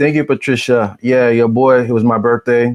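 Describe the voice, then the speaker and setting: A man talks at a moderate pace in a normal speaking voice, the sound dry and close with no echo. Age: 40s. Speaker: podcast co-host. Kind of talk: casual live-stream chat.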